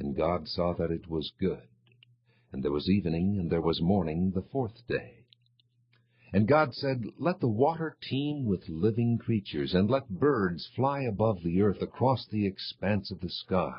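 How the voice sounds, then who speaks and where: Somewhat breathy, a man speaks at a fairly low pitch and a fairly slow pace. His pitch swings very widely. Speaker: voice actor. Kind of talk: audio Bible reading. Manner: clear, precise articulation.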